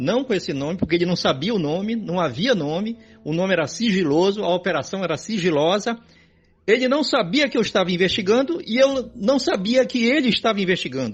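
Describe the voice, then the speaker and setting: A man's high voice swings very widely in pitch as he speaks fairly quickly. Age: 70s. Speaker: journalist. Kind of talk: interview.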